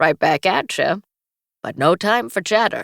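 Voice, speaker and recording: In a put-on character voice, the speaker sounds raspy at a middle pitch. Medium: read story. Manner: brisk, playful.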